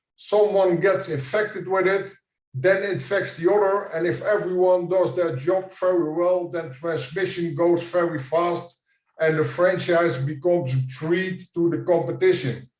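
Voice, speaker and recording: The man's voice sits high, in a Dutch accent. His intonation stays fairly even. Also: fairly slow pace. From Netherlands. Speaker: franchise consultant. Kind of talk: conference presentation.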